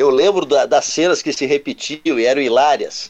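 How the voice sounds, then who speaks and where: A man speaking in a normal speaking voice sits fairly high in pitch, which shifts in a usual way. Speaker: weekly radio show guest. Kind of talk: casual chat.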